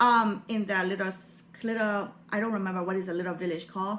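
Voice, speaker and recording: A woman with a Burmese accent, at a moderate pace. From Burma. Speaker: motivational YouTuber. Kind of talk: personal vlog talk. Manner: halting.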